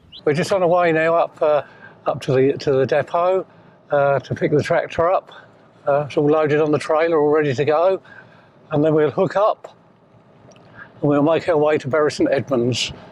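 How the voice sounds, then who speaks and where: With an East Anglian accent, a man speaks at a moderate pace in a fairly high pitch, leaving long, frequent pauses. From South Cambridgeshire, England. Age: 70s. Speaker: competitive ploughman, retired lorry driver. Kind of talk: documentary interview and narration. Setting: in a vehicle on the road. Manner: hesitant with frequent fillers.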